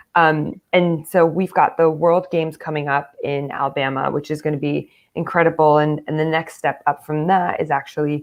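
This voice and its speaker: Her intonation is fairly even. This woman has an American accent and a very deep, low pitch. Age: 30s. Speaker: American football player and coach. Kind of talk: interview.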